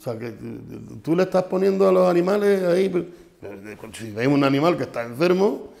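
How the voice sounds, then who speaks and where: Against a quiet background, a man with a high pitch and lively intonation speaks at a very fast pace but takes long, frequent pauses. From Spain, Extremadura. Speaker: farmers' union leader. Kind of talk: casual chat. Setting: studio. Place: studio. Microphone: lapel.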